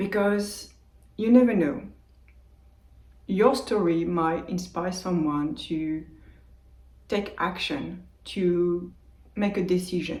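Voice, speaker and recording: Speaking very slowly with long, frequent pauses, a woman with a French accent sounds somewhat breathy amid audible room echo. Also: ordinary pitch variation. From France, Brittany. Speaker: meditation youtuber. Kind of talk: casual vlog monologue. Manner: unscripted, with hesitations. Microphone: old phone mic.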